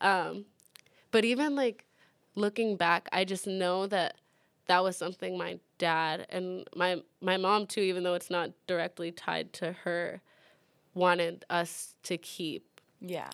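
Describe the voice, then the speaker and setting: A woman speaks at a fairly slow pace in an unremarkable speaking voice. Her pitch sits in the medium range. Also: fairly even intonation, very clean recording, silent background. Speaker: student organizer. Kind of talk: casual chat.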